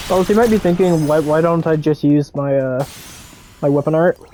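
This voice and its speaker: The speech comes at a very fast pace. Music is playing in the background. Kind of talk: gameplay commentary. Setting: headset mic. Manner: casual.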